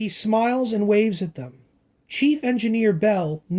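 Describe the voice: Plain reading aloud comes with ordinary pitch variation against a quiet background.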